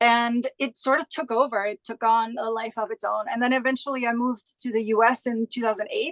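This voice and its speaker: Delivered fairly quickly with fairly even intonation, the voice carries a German accent and sounds dry and close with no echo. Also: woman, fairly high pitch for a woman. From Austria, Graz. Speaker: Pilates instructor and business founder. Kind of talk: interview.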